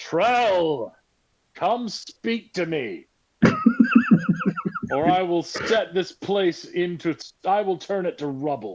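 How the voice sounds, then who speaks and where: A loud, booming put-on character voice at a middle pitch moves at a very slow pace, broken by long, frequent pauses. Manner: commanding, threatening.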